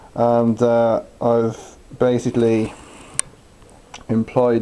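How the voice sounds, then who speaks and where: A man speaks against noticeable background noise. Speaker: electric car conversion hobbyist. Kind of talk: technical tutorial talk to camera.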